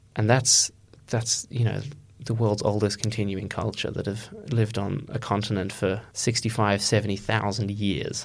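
Here a man speaks with an Australian accent and a fairly low pitch. His intonation is fairly even and his pace is moderate. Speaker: undergraduate student.

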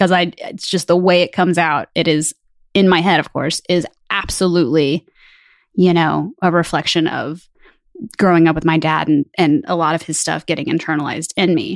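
A woman with a normal speaking voice talks at a fairly low pitch and moderate pace, her intonation fairly even, in a dry, close sound with no echo. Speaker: podcast co-host. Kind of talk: casual chat. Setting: video call.

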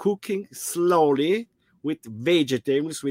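Speaking at a very slow pace with an Italian accent, a man comes through in a dry, close sound with no echo. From South Tyrol, Italy. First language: Italian or German. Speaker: traveler living in a motorhome. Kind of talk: casual video interview. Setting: video call from a motorhome. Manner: halting.

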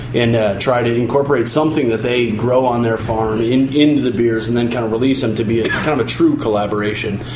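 A man talks at a very fast pace with fairly even intonation. Audible room echo and noticeable background noise are present. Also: medium pitch for a man, hardly any pauses. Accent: American. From Chicago. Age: 30s. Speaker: brewery staff. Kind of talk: radio interview.

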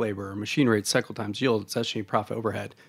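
A man speaks in an unremarkable speaking voice with fairly even intonation and a fairly low pitch. The recording is very clean, with a silent background. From Oregon, US West Coast. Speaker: supply chain tech founder, military veteran. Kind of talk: interview.

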